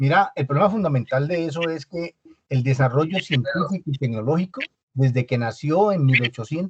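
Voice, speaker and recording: In a dry, close sound with no echo, a somewhat breathy man talks at a fairly quick pace. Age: 60s. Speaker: business owner, audience participant. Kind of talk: panel discussion. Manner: halting.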